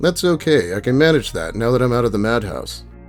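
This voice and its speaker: A man's voice moves along fairly quickly, rising and falling in very wide pitch swings while music plays behind him. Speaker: reddit story narrator. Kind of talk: dramatic reading of reddit posts.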